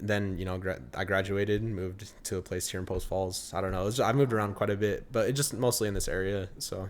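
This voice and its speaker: A man's fairly low voice at a very fast pace, with fairly even intonation, hardly any pauses and audible room echo. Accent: American. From Idaho, US. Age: 20s. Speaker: musician. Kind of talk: casual interview chat. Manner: halting, many fillers.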